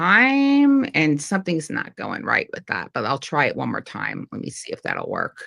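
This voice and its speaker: A woman speaks with a New York accent. Her pitch swings very widely. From New York, Long Island. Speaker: livestream host. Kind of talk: casual chat. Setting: online livestream.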